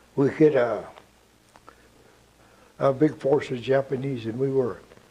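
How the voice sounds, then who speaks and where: There is noticeable background noise as a man with an American accent talks at a fairly slow pace, with long, frequent pauses. His pitch is medium and his intonation fairly even. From rural Colorado. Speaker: war veteran. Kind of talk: interview answer.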